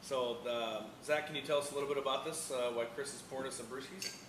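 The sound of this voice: A man speaks at medium pitch and a fast pace with fairly even intonation. The background noise is clear.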